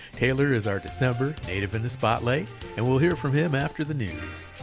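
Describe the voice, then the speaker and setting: Behind this man, music plays. His intonation is lively. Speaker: radio show host. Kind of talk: radio show introduction.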